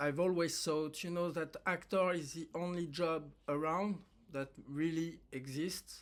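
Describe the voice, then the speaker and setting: Fairly slow and high-pitched, a man speaks with a French accent. The recording is very clean with a silent background. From France. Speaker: actor. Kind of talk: personal monologue to camera. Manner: halting, many fillers.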